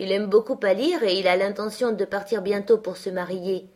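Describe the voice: The voice is reading aloud. The delivery is plain.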